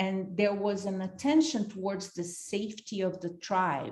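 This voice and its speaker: A woman with a Brazilian accent, dark, mellow and somewhat breathy, medium-pitched, at a fairly slow pace. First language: Portuguese. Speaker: leadership institute founder and facilitator. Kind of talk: workshop talk.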